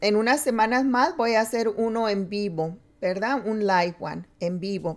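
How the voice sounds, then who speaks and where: Her pitch fairly high, a woman speaks with normal ups and downs. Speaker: preacher. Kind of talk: sermon. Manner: halting.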